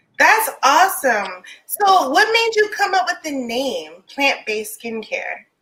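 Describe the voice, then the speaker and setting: Hardly pausing, the raised, projected voice moves at a fairly slow pace with very wide pitch swings. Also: woman, extremely high pitch for a woman. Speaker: live stream host, small business founder. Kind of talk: live interview. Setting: live stream video call. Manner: loud.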